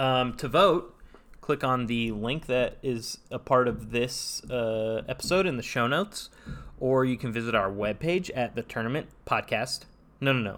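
With an American accent and an ordinary speaking voice, a man speaks at a fairly slow pace and medium pitch with ordinary pitch variation, on a very clean recording with a silent background. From Northern California (Saratoga). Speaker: podcast co-host. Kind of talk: casual chat; scripted narration.

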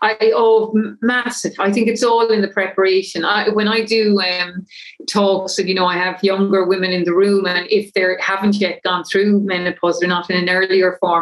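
A woman with an Irish accent speaks at a moderate pace in a flat monotone, her loudness very even, over noticeable background noise. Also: medium pitch for a woman. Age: 50s. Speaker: menopause coach. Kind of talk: interview.

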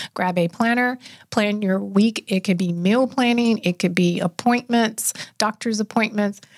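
A woman has a normal speaking voice at medium pitch, with ordinary pitch variation and a moderate pace. The sound is dry and close with no echo, in a very clean recording with a silent background. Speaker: health and wellness expert. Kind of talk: casual interview chat.

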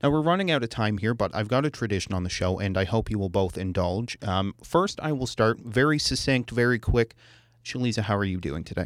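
Using a normal speaking voice, a man talks at a fairly quick pace with lively intonation at medium pitch. The recording is very clean, with a silent background. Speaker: radio host. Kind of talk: radio podcast hosting, conversational. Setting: studio.

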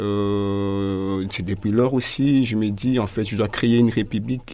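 A man speaks with a fairly low pitch and a dark, mellow tone. His intonation is monotone and flat. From DR Congo, Kinshasa. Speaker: performance artist. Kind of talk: radio interview.

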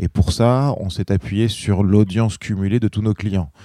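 A man speaks at a moderate pace in a dark, mellow tone. The recording is very clean and dry, close with no echo, over a silent background. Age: 40s. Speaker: entrepreneur. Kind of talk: interview.

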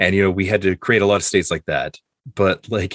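On a very clean recording with a silent background, a man talks at a very fast pace with an American accent. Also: dry, close sound with no echo. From Oklahoma, US. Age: 30s. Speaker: podcast host, former teacher. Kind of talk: casual chat.

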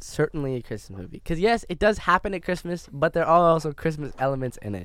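A man's ordinary speaking voice, fairly quick and lively in intonation, on a very clean recording with a silent background. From Canada. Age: 20s. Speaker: podcast co-host. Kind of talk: casual chat.

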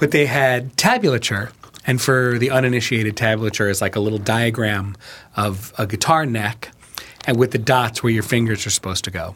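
Over noticeable background noise, a man with an American accent speaks at a moderate pace, his medium pitch varying in an ordinary way. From New York, then Chicago from age ten. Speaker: writer and filmmaker. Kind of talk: casual chat.

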